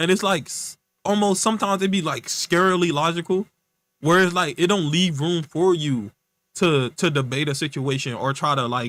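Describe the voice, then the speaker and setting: In a St. Louis accent, a man speaks at a moderate pace with a high pitch and ordinary pitch variation. The recording is very clean, with a silent background. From US Midwest, St. Louis, Missouri. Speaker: streamer. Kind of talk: casual livestream chat. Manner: casual, rambling with fillers.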